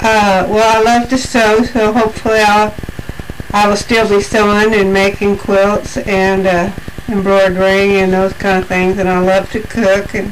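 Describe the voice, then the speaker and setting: Against noticeable background noise and audible room echo, a woman at medium pitch speaks in a monotone, flat intonation with very even loudness. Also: fairly slow pace. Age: 60s. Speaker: interviewee. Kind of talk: interview answers. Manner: hesitant.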